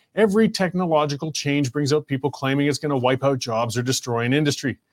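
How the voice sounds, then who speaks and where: Here a man with a Canadian accent has a normal speaking voice and fairly high pitch. He talks at a fairly quick pace with ordinary pitch variation. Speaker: talk show host. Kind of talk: casual talk show. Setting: live stream studio.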